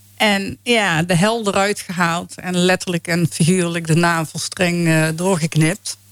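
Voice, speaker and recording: A woman in a Brabant accent speaks very slowly with a fairly low pitch and fairly even intonation. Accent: Brabant Dutch. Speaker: faith healing ministry founder. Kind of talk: testimony. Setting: radio studio.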